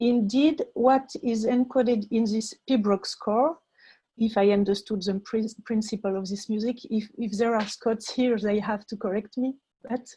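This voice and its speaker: In a French accent, a woman with a fairly high pitch and a dark, mellow, somewhat breathy tone speaks at a moderate pace with fairly even intonation, in a very clean recording with a silent background. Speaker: music education researcher. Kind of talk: conference presentation. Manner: halting.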